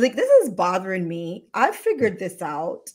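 The voice has an animated tone and very wide pitch swings. It moves at a fairly slow pace over a quiet background. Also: woman. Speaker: ER physician and show host. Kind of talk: livestream interview. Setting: livestream video. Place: home room. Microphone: earbuds.

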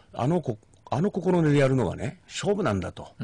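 A man's somewhat breathy voice with a dark, mellow tone, in a dry sound with no echo. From Shimane, Japan. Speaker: former high school baseball coach, education commentator. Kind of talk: radio interview. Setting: radio studio. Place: studio. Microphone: studio mic.

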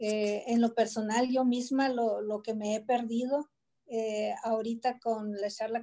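Against a quiet background, a woman with a dark, mellow tone and fairly high pitch speaks at a very slow pace in a monotone, flat intonation. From Nogales, Sonora, Mexico; Sonora, Mexico. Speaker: cultural institute director. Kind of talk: closing remarks in online panel. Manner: halting, filler-heavy. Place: home room. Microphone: video call.

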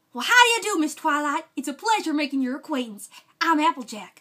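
A woman puts on a cartoonish character voice, high-pitched and fairly quick. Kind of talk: cartoon voice impression. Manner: folksy, warm.

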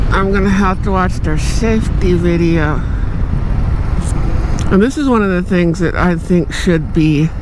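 The sound is dry, with no echo. Noticeable background noise runs underneath. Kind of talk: casual vlog chat. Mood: relaxed, chatty. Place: motorbike. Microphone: helmet.

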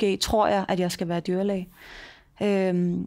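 The background is quiet. The speech moves at a fairly slow pace. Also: woman. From Denmark. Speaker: mayor; podcast guest. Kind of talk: interview. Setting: office. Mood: calm, reflective. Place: meeting room. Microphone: headset.

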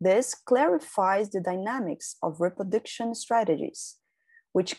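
Over a quiet background, a woman with a Brazilian Portuguese accent speaks at a fairly slow pace. Her dark, mellow tone carries lively intonation. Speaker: doctoral researcher. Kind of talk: conference presentation, read from script. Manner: formal. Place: home room. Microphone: webcam.

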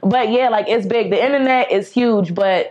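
A woman is speaking. She moves at a fairly quick pace. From North Carolina, USA. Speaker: singer-songwriter. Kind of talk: interview answer. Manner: casual. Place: studio.

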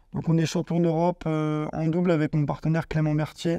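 In a dry recording with no echo and a quiet background, a man speaks at a fairly high pitch and a fairly slow pace, using a dark, mellow tone and flat, monotone intonation. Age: 30s. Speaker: para table tennis player. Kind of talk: personal testimony to camera. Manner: hesitant with fillers. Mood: calm, proud. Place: hall.

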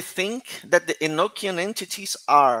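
A man speaks with a Portuguese accent. His tone is bright and sharp. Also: quiet background. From Brazil. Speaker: conference organizer and moderator; moderator. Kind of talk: conference moderation and Q&A. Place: home room. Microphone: headset.

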